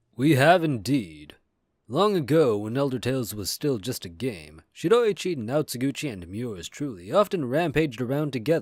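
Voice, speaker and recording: A man's put-on character voice at medium pitch and moderate pace, on a very clean recording with a silent background. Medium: read story. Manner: serene, soothing.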